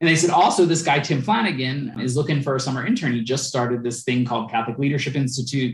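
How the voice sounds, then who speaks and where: Somewhat breathy and with an American accent, the speaker goes at a very fast pace with hardly any pauses and ordinary pitch variation. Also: man, medium pitch for a man. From Philadelphia. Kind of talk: interview conversation.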